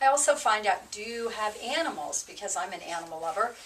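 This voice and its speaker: Amid noticeable background noise, a woman speaks at a medium pitch. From New Jersey. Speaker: real estate agent. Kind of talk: casual interview chat. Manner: talkative.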